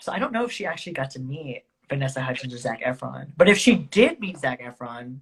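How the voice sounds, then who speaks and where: With an American accent, a woman with a very deep, low pitch talks at a very fast pace, her lively intonation, big swings in loudness and somewhat breathy sound all standing out. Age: 20s. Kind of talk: casual chat. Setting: Instagram live stream.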